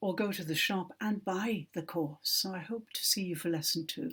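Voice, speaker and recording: A somewhat breathy woman's voice with a British accent at a fairly slow pace. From Britain. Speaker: English teacher. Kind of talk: online language lesson. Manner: slow, clear, for learners.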